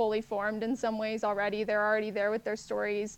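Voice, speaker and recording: The background is quiet. A woman speaks in a fairly high voice. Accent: American. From Texas, San Antonio. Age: 20s. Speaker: fiction writer and ghostwriter. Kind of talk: interview. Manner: hesitant with fillers.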